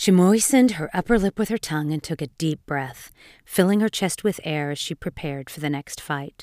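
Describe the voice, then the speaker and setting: On a very clean recording with a silent background and a dry, close sound with no echo, a woman with an unremarkable speaking voice talks at a moderate pace and fairly low pitch, her intonation lively. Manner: dark, theatrical storytelling with hushed, lingering pacing.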